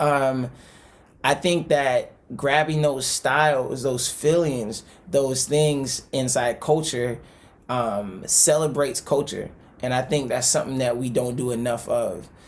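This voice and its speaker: With an American accent, a man talks at a fairly slow pace. His medium pitch holds fairly even intonation. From US South, Tallahassee, north Florida. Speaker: singer-songwriter. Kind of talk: interview. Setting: video call.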